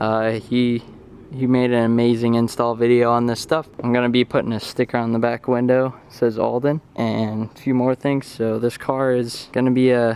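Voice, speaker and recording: At a moderate pace, a man speaks at a medium pitch in a monotone, flat way. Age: 19. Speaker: car build youtuber. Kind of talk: tutorial. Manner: casual.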